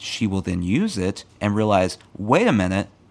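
This man has an unremarkable speaking voice. His pitch is fairly low and his intonation fairly even. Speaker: podcast co-host. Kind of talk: casual chat.

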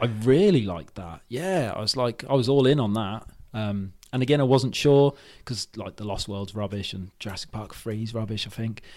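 A man with a British accent speaks at a medium pitch and a moderate pace, with ordinary pitch variation. His loudness swings widely. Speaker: podcaster. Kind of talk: casual chat.

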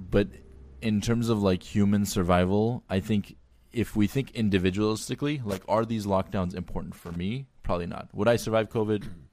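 A man with an American accent, fairly low in pitch, at a fairly quick pace with ordinary pitch variation, in an ordinary speaking voice. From Armenian diaspora, Glendale, California. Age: 20s. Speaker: physician. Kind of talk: casual chat.

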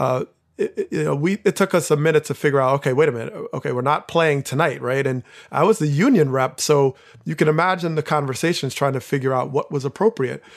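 A man with an American accent talks very fast at a fairly high pitch with ordinary pitch variation. The sound is dry and close with no echo over a quiet background. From New Jersey. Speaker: former baseball player and professor. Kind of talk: casual chat. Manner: halting, many fillers.

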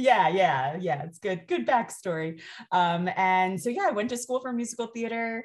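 A woman with an ordinary speaking voice, medium in pitch. Her intonation is lively, and she talks at a moderate pace. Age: 40s. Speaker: doula and parenting educator. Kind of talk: casual interview chat.

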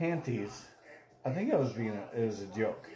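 The speaker talks at a fairly slow pace. There is audible room echo and noticeable background noise. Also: man. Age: 40s. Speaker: podcast host. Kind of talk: casual chat. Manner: animated.

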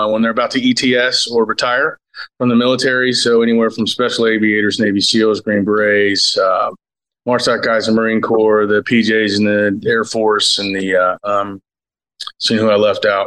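Using an unremarkable speaking voice, a man with an American accent talks at a moderate pace and medium pitch. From Cincinnati, Ohio. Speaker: violinist, producer and military veteran. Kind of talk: casual chat.

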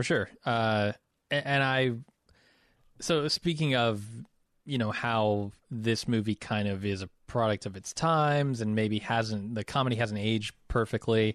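Heard in a dry, close sound with no echo, a man of medium pitch has an unremarkable speaking voice, talking at a fairly slow pace with ordinary pitch variation. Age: 30s. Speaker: film podcast co-host. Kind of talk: casual chat.

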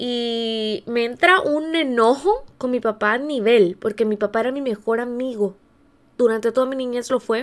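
A woman with an unremarkable speaking voice, fairly high in pitch with ordinary pitch variation, is heard on a very clean recording with a silent background. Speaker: podcast host, life coach. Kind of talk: personal testimony monologue.

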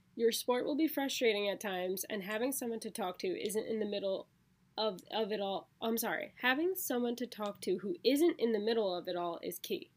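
A woman talks at a fairly quick pace with a fairly high pitch. It is an unremarkable speaking voice. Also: lively intonation. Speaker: podcast host. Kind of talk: casual chat.

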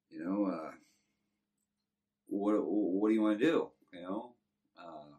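A man with a Texan accent. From Texas. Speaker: former prisoner telling life story. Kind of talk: testimony.

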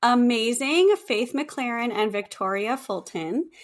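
In an American accent, a woman speaks very slowly at a high pitch. The recording is very clean, with a silent background. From California. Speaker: podcast co-host. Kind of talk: casual chat; reading guest bio aloud.

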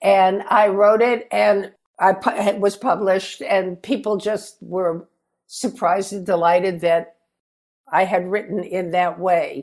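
At a very slow pace, a woman speaks in a medium pitch with fairly even intonation. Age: 80s+. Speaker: author. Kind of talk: interview. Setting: video call.

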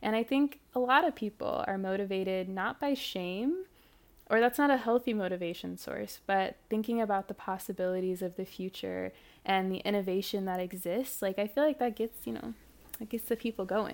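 A woman with an American accent and a normal speaking voice talks with ordinary pitch variation on a very clean recording with a silent background. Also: medium pitch for a woman, moderate pace. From US Midwest, St. Louis area (Ferguson, Missouri). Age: 20s. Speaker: environmental activist. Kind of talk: interview conversation.

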